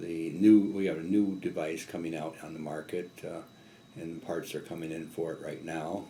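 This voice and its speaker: Big swings in loudness mark this man's dark, mellow, very deep voice, which keeps a fairly even intonation at a moderate pace amid audible room echo. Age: 60s. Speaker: business owner. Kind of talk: interview. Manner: halting.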